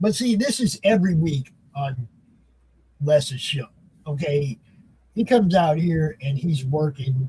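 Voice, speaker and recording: A man speaks fairly slowly in a fairly high, somewhat breathy voice with a dark, mellow tone. His intonation is lively, broken by long, frequent pauses. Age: 60s. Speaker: show co-host. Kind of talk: casual chat.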